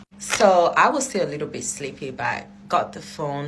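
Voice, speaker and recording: Noticeable background noise and audible echo from the room accompany a woman as she speaks. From Africa. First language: not English. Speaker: vlogger. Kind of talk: storytelling. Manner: casual.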